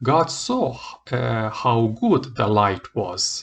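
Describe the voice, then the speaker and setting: This man speaks with a non-native accent. His pitch sits in the medium range. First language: not English. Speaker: Bible reader. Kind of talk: reading aloud; casual chat. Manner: halting.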